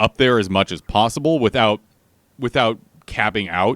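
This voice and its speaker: A man at a medium pitch and fairly quick pace, in a dry, close sound with no echo. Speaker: video game streamer. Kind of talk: casual livestream chat. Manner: loud and clear.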